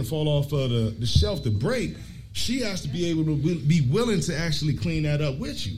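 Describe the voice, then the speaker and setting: A man's fairly high pitch and lively intonation at a moderate pace, with audible room echo. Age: 40s. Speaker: podcast co-host. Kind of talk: live podcast panel talk. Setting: brewery with live audience.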